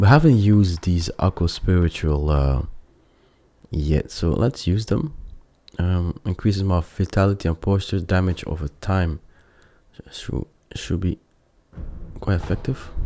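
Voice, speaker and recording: A man with a non-native accent speaks at a fairly slow pace, very deep and low, in a dark, mellow tone, with long, frequent pauses. The recording is very clean with a silent background, and the sound is dry and close with no echo. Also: ordinary pitch variation. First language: not English. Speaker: gaming video creator. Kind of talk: let's play commentary. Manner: halting, with many fillers.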